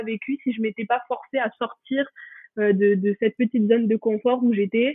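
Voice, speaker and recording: A flat, monotone delivery unfolds at a moderate speed. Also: woman. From France, Pyrenees. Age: 20s. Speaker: law student. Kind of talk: interview testimony. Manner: hesitant, many fillers.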